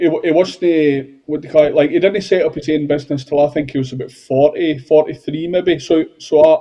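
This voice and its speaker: In a southwest Scottish accent, a man talks at a fairly quick pace with hardly any pauses, a fairly high pitch and fairly even intonation. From Scotland, Galloway (Wigtown). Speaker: painter and decorator, podcast co-host. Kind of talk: casual interview chat.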